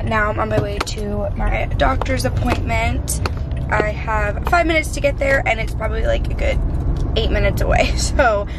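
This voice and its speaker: Music plays in the background as a woman speaks. Her pace is moderate. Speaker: family vlogger. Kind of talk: casual vlog chat. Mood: cheerful, chatty. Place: car. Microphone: phone near.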